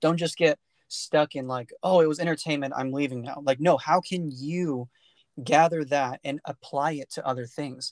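This man has an ordinary speaking voice, fairly high in pitch, with fairly even intonation at a moderate pace. The sound is dry and close with no echo, over a quiet background. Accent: American. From US, California Central Valley. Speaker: podcast host. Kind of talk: casual chat.

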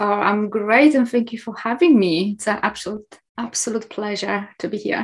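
The voice is somewhat breathy, with ordinary pitch variation, a moderate pace and hardly any pauses. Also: woman, fairly high pitch for a woman. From Poland. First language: Polish. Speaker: hypnotherapist. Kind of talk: casual chat.

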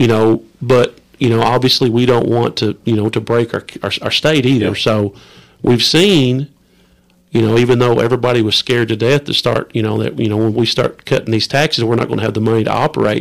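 The speaker talks at a fairly quick pace with an Appalachian accent. The intonation stays fairly even. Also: man, medium pitch for a man. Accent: Appalachian Kentucky. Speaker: state representative. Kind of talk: casual chat.

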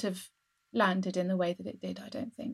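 A woman talks in a southern English accent. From England, Essex. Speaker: novelist. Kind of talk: casual chat. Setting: home study, remote call.

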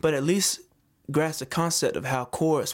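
This man has a Southern US accent and talks at a moderate pace. The recording is very clean, with a silent background. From US South, Georgia. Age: 20s. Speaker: singer-songwriter and army veteran. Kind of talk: casual interview chat.

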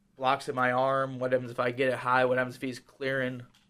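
A man with an American accent talks at a fairly quick pace in a medium pitch. The recording is very clean, with a silent background. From Wisconsin. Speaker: college wrestler. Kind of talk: casual chat. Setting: studio. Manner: fast talker.

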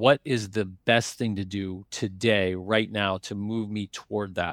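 Recorded very cleanly against a silent background, a man with an ordinary speaking voice and fairly low pitch speaks with fairly even intonation in a dry, close sound with no echo. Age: 50s. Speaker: private equity investor and business school lecturer. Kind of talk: interview.

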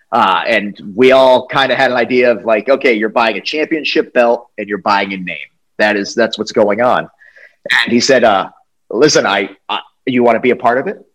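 A man with an unremarkable speaking voice talks at a moderate pace, his medium pitch showing ordinary pitch variation. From US Northeast (New England). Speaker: wrestling interviewer. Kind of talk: casual interview chat.

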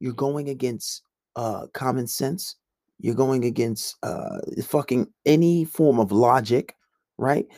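Recorded dry and close with no echo, a man with an American accent speaks at a very slow pace and medium pitch, his dark, mellow tone showing ordinary pitch variation. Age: 20s. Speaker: podcast host. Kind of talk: casual monologue.

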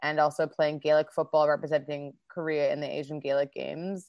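Her pitch very deep and low, a woman speaks at a moderate pace. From Canada, Winnipeg. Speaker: comedian and actor. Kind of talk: casual interview chat. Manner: energetic.

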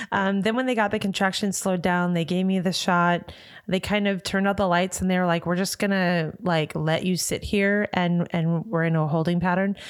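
A woman with an unremarkable speaking voice talks at a moderate pace and a medium pitch, with fairly even intonation and hardly any pauses. Her loudness stays very even in a very clean recording with a silent background. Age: 40s. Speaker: podcast host's wife, new mother. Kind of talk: casual chat.

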